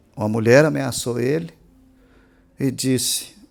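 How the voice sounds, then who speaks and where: A man with a Minas Gerais accent talks at a fairly slow pace with ordinary pitch variation. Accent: Brazilian Portuguese, mineiro. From Brazil, Minas Gerais. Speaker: pastor. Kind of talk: sermon. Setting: church. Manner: emphatic.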